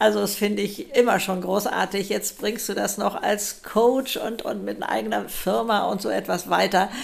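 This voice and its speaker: The background carries noticeable noise. A woman speaks over it at a moderate pace. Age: 70s. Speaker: speaker and model. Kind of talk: casual chat.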